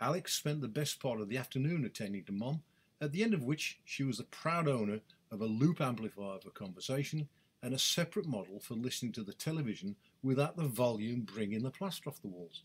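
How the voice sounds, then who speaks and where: The speaker goes at a very fast pace with lively intonation and a somewhat breathy sound. The recording is very clean, with a silent background. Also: man, medium pitch for a man. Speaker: writer and broadcaster. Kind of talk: reading aloud a personal letter. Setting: home studio. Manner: formal.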